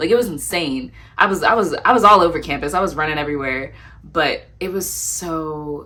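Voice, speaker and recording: Soft-spoken, a woman talks in a bright, sharp tone with vocal fry, and audible room echo is present. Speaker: lifestyle vlogger and poet. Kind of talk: casual Q&A vlog. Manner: quiet at times.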